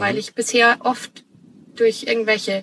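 The woman's voice sits fairly high in pitch. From Bavaria, Munich. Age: 30s. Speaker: flight attendant and aspiring digital nomad. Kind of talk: casual interview chat.

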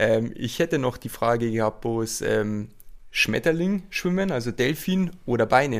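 This is an ordinary speaking voice, a man's at medium pitch. He talks at a fairly slow pace. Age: 20s. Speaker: triathlete. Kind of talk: casual chat. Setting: training camp.

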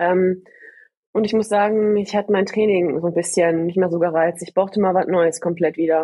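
Her pace is moderate and her pitch sits in the middle range for a woman. The woman's intonation stays monotone and flat. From Ruhr area, Germany (Gladbeck). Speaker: bobsleigh athlete. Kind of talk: interview.

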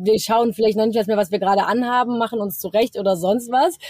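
Dark, mellow tone from a woman at a fairly high pitch, dry and close with no echo. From Germany, Cologne. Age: 20s. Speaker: travel influencer. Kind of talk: casual interview. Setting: video call from her van.

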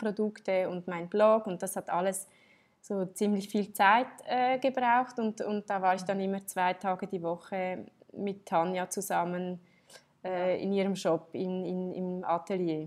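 A woman talks at a fairly slow pace and a medium pitch. Her intonation is fairly even. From Switzerland. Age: 30s. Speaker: entrepreneur and textile designer. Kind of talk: interview. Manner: halting, many fillers and restarts.

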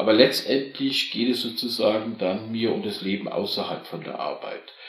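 A man at a moderate pace amid noticeable background noise and audible room echo. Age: 50s. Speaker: corporate employee. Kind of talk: casual chat.

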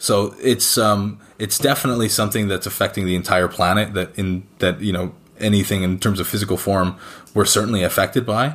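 A man with a Canadian accent speaks in an ordinary speaking voice at a fairly quick pace. His pitch is fairly low, and the recording is very clean with a silent background. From rural Canada. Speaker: sneaker resale company director. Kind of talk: interview.

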